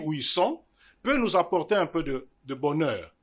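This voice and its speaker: A man with very wide pitch swings over a quiet background. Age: 60s. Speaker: invited speaker at student parliament debate. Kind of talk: public talk answering questions. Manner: formal.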